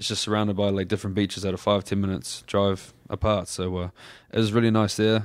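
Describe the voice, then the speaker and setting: Very fast and in a flat monotone, a man with a New Zealand accent speaks at a fairly low pitch on a very clean recording with a silent background. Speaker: professional wrestler. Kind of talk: casual chat. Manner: laid-back.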